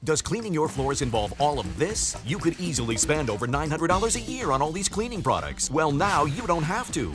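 With music in the background, a man talks at a fairly quick pace with hardly any pauses, his fairly high voice making very wide pitch swings. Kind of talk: TV commercial read.

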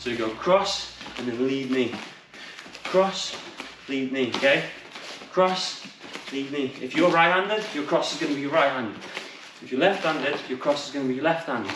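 Over noticeable background noise and audible room echo, a man talks with long, frequent pauses and big swings in loudness. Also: ordinary pitch variation, moderate pace. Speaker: kickboxing coach. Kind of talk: workout instruction. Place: gym.

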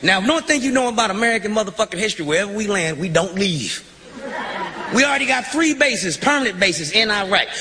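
Very wide pitch swings mark a raised, projected voice delivered at a very fast pace. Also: man. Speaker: stand-up comedian. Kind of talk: stand-up comedy routine. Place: stage. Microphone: handheld.

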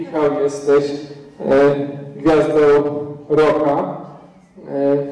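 A man's fairly high, monotone, flat delivery with long, frequent pauses and audible room echo. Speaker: casting interviewer. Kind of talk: interview. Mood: slightly hesitant, nervous. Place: hall.

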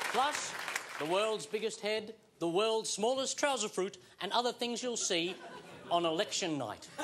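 Over crowd noise, a man talks at a fairly slow pace in a high voice with ordinary pitch variation. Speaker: TV comedy host. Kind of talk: comedy TV monologue. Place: studio. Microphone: lapel.

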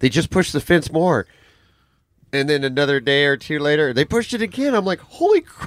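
A man with a fairly high pitch and an ordinary speaking voice moves at a fairly quick pace with lively intonation, the sound dry and close with no echo. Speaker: podcast host. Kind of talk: casual podcast talk.

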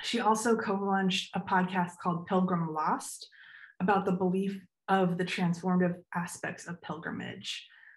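Over a quiet background, a woman speaks at a moderate pace in a somewhat breathy voice with monotone, flat intonation. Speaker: panel moderator and graphic designer. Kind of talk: panel discussion. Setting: video call. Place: home room. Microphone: video call.

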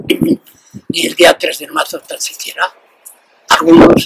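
A man speaks over loud background noise. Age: 80s+. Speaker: retired factory worker and former trade union leader; interviewee. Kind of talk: interview answer. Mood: earnest, reflective. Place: street.

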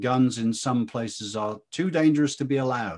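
At a moderate pace, a man with a British accent speaks with ordinary pitch variation over a quiet background. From Britain. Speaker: interviewer and think-tank fellow. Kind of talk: interview discussion. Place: home room. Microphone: video call.

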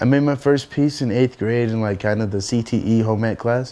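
With light background noise, the speaker keeps a moderate pace and fairly even intonation. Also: man. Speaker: interviewee. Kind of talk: interview answer. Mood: casual, reflective. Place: home room.

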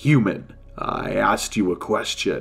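Using a put-on character voice, a man speaks at a fairly slow pace. Faint music plays in the background, and hissing is present. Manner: impatient.

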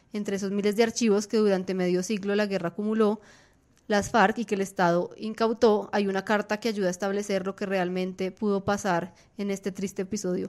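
At a fairly quick pace, a woman of medium pitch talks in a monotone, flat intonation. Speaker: news podcast host and editor. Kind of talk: news podcast discussion. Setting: studio.

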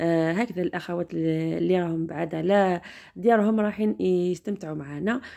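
In a quiet background, a woman with a dark, mellow tone and fairly low pitch talks at a moderate pace with ordinary pitch variation. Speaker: vlogger driving. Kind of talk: casual vlog chat. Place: car. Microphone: phone near.

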